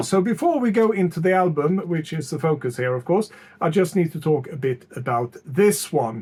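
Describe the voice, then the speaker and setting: A man speaks with a non-native accent. His pitch is high. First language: not English. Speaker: music YouTuber. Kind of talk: album review. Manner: hesitant, many fillers.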